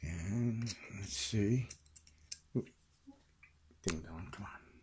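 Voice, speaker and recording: Soft-spoken and somewhat breathy, a man talks at a very slow pace with a fairly low pitch and ordinary pitch variation over noticeable background noise. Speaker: lockpicking hobbyist. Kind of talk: tutorial. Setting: at home at night. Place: home room. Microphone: phone near.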